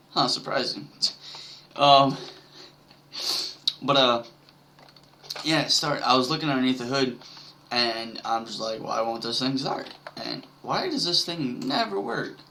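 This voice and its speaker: The speech moves at a fairly slow pace with long, frequent pauses against noticeable background noise. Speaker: gaming video creator. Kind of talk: casual gameplay commentary. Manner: hesitant, many fillers.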